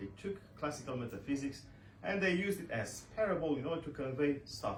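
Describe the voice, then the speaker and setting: A fairly high-pitched man with lively intonation, amid noticeable background noise and audible room echo. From Romania. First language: Romanian. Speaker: author and scholar. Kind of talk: book launch speech. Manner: halting, many fillers.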